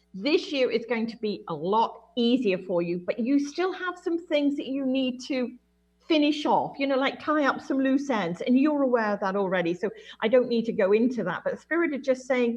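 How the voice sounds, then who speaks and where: This woman speaks with a high pitch and lively intonation. Her pace is moderate. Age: 60s. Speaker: clairvoyant medium. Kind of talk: intuitive reading on radio call-in show.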